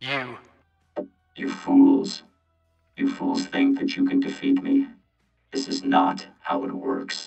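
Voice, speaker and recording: In a high-pitched, put-on character voice, someone speaks at a fairly slow pace with long, frequent pauses over faint music in the background. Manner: menacing, boastful.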